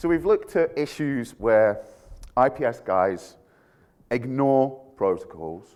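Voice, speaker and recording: This very clean recording of a man with a Scottish accent has a silent background. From Scotland. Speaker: security researcher. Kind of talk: conference talk. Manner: animated.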